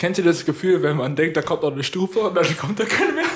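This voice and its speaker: Noticeable background noise accompanies a man who speaks with ordinary pitch variation. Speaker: podcast co-host. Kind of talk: casual chat. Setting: home studio. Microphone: room echo.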